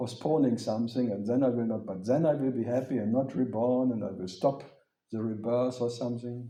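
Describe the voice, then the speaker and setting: In a German accent, a man talks at a fairly quick pace with fairly even intonation amid audible room echo. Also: medium pitch for a man. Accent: German accent, still there. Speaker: spiritual teacher. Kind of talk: question-and-answer talk with audience.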